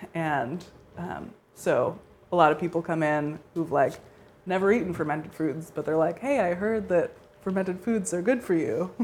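With an American accent, a woman speaks at a moderate pace and a fairly low pitch, her pitch moving in an ordinary way, with long pauses that come often. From US Northeast (suburban New Jersey). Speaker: homestead supply shop owner. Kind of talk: interview and demonstration. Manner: casual with frequent fillers and laughter.

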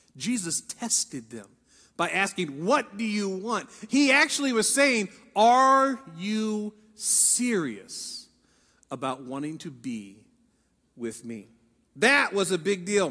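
A man with an American accent speaks in a raised, projected voice at a high pitch and a very slow pace. His tone is bright and sharp, with very wide pitch swings and big swings in loudness. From Ohio. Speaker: pastor. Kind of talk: sermon.

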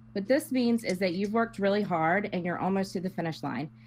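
Lively intonation runs through a woman's normal speaking voice at medium pitch. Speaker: panelist guest. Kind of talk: casual banter.

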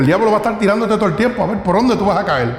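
Noticeable background noise and audible room echo around a man's high-pitched voice. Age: 50s. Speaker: pastor. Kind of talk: sermon. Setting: church.

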